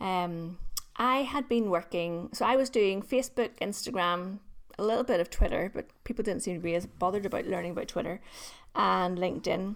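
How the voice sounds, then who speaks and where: On a very clean recording with a silent background, a woman speaks at a medium pitch with a Northern Irish accent. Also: ordinary pitch variation, fairly quick pace. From Northern Ireland. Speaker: LinkedIn trainer. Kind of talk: casual interview chat.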